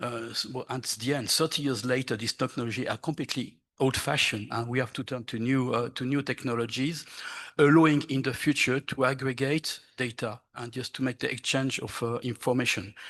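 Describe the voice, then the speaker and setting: A man speaks in a French accent at a medium pitch with fairly even intonation. His pace is fairly quick and the background is quiet. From France. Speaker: archaeologist. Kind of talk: conference presentation. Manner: halting.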